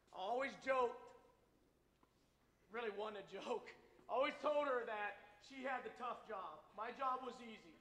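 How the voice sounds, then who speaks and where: Amid audible room echo, a man with an extremely high pitch and a bright, sharp tone speaks at a moderate pace with ordinary pitch variation, big swings in loudness and long, frequent pauses. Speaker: army veteran and guest speaker. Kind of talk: speech to school audience. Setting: school assembly with audience.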